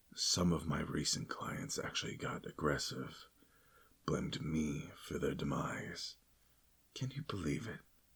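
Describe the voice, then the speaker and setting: Here a man whispers in a put-on character voice. He leaves long, frequent pauses. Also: moderate pace. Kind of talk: ASMR roleplay. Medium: role play. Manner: playful, polite, rambling.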